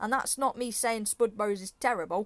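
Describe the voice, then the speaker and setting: The woman speaks with an English accent. Her pitch is fairly high, with ordinary pitch variation. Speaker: football predictions youtuber. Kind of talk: casual monologue. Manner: animated.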